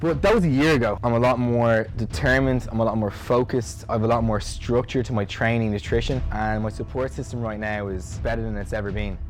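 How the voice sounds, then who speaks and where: With music in the background, a man with an Irish accent speaks very fast at a medium pitch with hardly any pauses. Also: ordinary pitch variation. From Ireland, Dublin. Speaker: bodybuilder. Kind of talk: documentary interview. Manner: animated.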